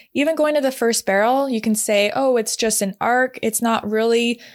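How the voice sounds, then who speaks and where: This woman has an unremarkable speaking voice, fairly high in pitch, with ordinary pitch variation at a moderate pace. The recording is very clean, with a silent background. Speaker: podcast host and barrel racing instructor. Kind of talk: solo podcast tutorial.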